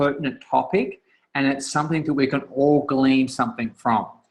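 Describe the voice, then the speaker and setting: This man talks with an Australian accent. His voice sits at a medium pitch. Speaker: author and coach. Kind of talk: guest talk on a group call. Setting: conference call. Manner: halting, many fillers and restarts.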